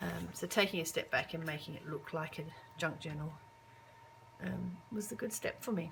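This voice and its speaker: Noticeable background noise sits under a woman's voice. She keeps a moderate pace with long, frequent pauses. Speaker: craft video creator. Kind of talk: casual show-and-tell. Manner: hesitant, many fillers.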